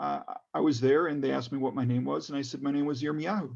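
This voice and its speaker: A man with a Chicago accent speaks over a quiet background. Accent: American English, Chicago. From US Midwest (Chicago area, Skokie), then Israel from age 11. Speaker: political candidate. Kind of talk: town hall talk, personal story. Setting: video call. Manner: many fillers and restarts.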